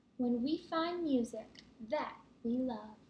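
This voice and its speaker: A woman puts on a character voice, pitched high. She goes at a fairly slow pace with ordinary pitch variation. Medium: read story.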